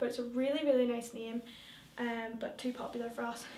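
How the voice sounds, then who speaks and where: In a Northern Irish accent, a woman talks at a moderate pace in a high, flat monotone, with audible room echo and noticeable background noise. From Northern Ireland, rural. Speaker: vlogger. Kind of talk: casual vlog talk. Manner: hesitant, many fillers.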